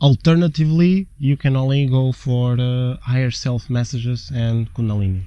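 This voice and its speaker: A man with a non-native accent speaks at a moderate pace and a medium pitch. His tone is dark and mellow, and he hardly pauses. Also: ordinary pitch variation. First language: not English. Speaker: twin flame spiritual channel co-host. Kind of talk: casual conversational explainer.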